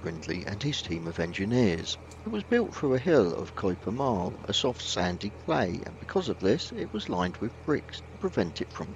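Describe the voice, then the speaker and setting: A plain, everyday voice from a man with a fairly low pitch, moderate pace and hardly any pauses, dry with no echo, over light background noise. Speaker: vlog narrator. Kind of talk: informational voice-over narration.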